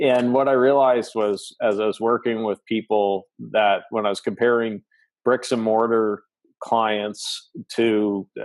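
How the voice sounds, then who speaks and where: A man's medium-pitched voice with a slight Canadian accent, monotone, flat intonation and a fairly slow pace, in a dry, close sound with no echo. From Atlantic Canada. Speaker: business coach, podcaster. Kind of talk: interview.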